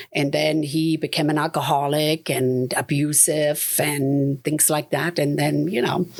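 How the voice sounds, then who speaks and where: Over noticeable background noise, a woman with a German accent speaks fairly slowly at a very deep, low pitch. Her intonation is monotone and flat, and her loudness stays very even. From Germany. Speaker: realtor and investor. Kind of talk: interview testimony. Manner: conversational, many fillers.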